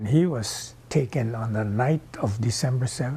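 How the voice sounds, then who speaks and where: A man speaks with a Hawaiian accent in a somewhat breathy voice. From Hawaii (Kauai). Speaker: oral history interviewee. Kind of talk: testimony.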